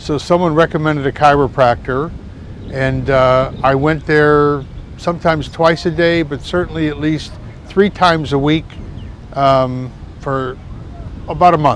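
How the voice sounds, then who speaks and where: Over noticeable background noise, a man with a fairly high pitch talks at a fairly slow pace in fairly even intonation, leaving long, frequent pauses. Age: 70s. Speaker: patient giving a testimonial. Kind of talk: testimony. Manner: hesitant with fillers.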